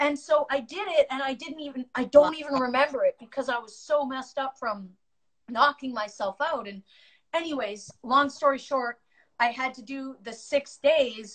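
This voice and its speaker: A high-pitched woman at a moderate pace, ordinary pitch variation, big swings in loudness, quiet background. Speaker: guest. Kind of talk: casual storytelling chat. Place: home room. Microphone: phone near.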